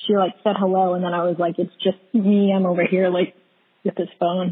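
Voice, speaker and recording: A woman talks at a fairly quick pace and medium pitch in an ordinary speaking voice. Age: 20s. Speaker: podcast guest. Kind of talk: casual chat.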